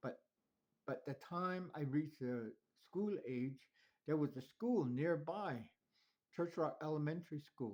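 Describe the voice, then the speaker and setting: A fairly high-pitched man with a Southwestern US accent and lively intonation, talking at a fairly slow pace with long, frequent pauses. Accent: Navajo-accented English. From Navajo Nation, New Mexico. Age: 70s. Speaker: elder telling life story. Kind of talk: personal life story. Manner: halting.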